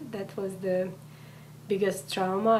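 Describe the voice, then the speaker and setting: With a Hungarian accent, a woman speaks at a medium pitch with fairly even intonation, over noticeable background noise and audible room echo. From Hungary. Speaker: immigrant, community coordinator. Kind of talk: interview. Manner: halting.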